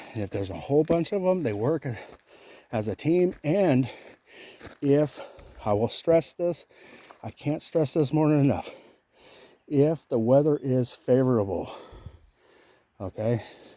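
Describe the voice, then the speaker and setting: Pausing long and often, a man talks at a fairly slow pace in a dark, mellow tone, his fairly high pitch moving with lively intonation. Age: 40s. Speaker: hiking vlogger. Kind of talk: casual vlog monologue while hiking. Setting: outdoors on a trail. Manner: animated.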